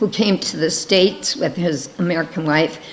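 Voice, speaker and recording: Over noticeable background noise, a woman speaks with fairly low pitch. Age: 70s. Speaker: missionary. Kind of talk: missionary presentation.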